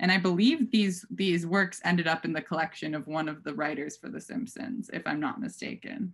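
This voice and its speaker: With an American accent, a woman with a fairly low, somewhat breathy voice talks at a fairly quick pace with lively intonation and hardly any pauses. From US Midwest, Minnesota. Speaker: art curator; art dealer presenting a lecture. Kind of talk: lecture. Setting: video call. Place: home room. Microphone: webcam.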